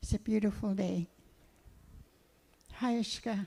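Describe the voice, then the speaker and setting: A somewhat breathy woman's voice with a dark, mellow tone, at a very slow pace. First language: Cowichan (Hul'q'umi'num'). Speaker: elder. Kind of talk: prayer and blessing.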